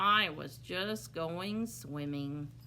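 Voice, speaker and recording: This is a put-on character voice with very wide pitch swings. Clear background noise runs beneath it. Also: woman, very deep, low pitch for a woman. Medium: read story.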